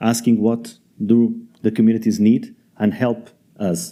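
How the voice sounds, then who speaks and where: A man's dark, mellow voice at a fairly slow pace. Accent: Portuguese. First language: Portuguese. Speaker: debate moderator. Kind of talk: panel introduction at a conference. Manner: halting.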